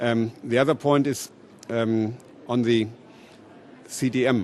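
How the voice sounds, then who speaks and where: A man speaks fairly slowly in a German accent. His intonation stays fairly even and his loudness very even. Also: medium pitch for a man. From Germany. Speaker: politician. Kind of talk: panel discussion.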